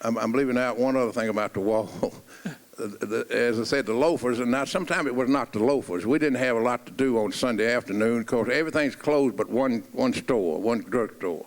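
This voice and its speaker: A man's Middle Tennessee accent at a very even loudness. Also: medium pitch for a man, ordinary pitch variation, fairly quick pace. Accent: Southern US (Middle Tennessee). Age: 80s. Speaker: coach. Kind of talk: reminiscing in a stage conversation.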